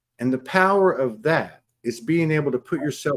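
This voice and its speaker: This man's voice sits fairly high, with ordinary pitch variation. He keeps a moderate pace in a plain, everyday voice. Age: 60s. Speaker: speaker on self-awareness. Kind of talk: conversational talk to an audience.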